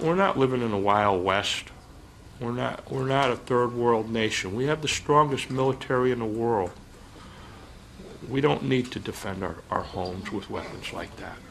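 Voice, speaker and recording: There is noticeable background noise behind this man. His pitch variation is ordinary. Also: medium pitch for a man, moderate pace. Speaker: father of a shooting victim. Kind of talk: public hearing testimony.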